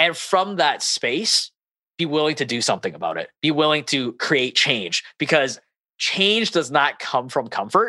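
A man with a fairly high pitch speaks at a fairly slow pace, his bright, sharp tone touched with vocal fry. His intonation is lively, and the recording is very clean with a silent background. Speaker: podcast host. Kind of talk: interview. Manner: animated.

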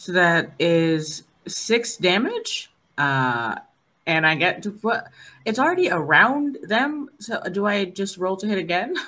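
Very wide pitch swings at a fairly slow pace. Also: woman, medium pitch for a woman. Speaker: player in tabletop game. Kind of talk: tabletop role-playing stream, casual.

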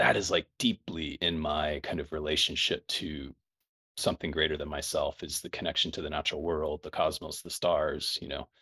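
On a very clean recording with a silent background, a man speaks at a moderate pace with big swings in loudness. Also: dry, close sound with no echo. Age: 40s. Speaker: leadership coach and teacher. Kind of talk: casual interview conversation. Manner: halting, many fillers.

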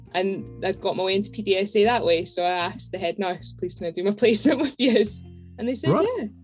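With music in the background, a woman talks at a fairly quick pace in a medium pitch and lively intonation. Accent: slight Scottish. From Edinburgh, Scotland. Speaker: podcast guest, veterinary nurse.

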